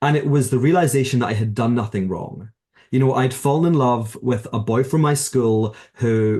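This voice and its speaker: In a Glasgow accent, a man speaks at medium pitch and a moderate pace, his dark, mellow tone somewhat breathy and his pitch variation ordinary. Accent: Scottish (Glasgow). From Scotland, Glasgow. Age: 30s. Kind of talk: interview conversation.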